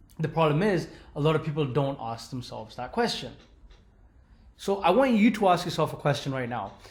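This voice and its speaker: Very wide pitch swings from a man speaking at a moderate speed. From London, England. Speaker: online business coach. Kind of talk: webinar sales pitch. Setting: live webinar with chat. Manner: rambling with repetitions.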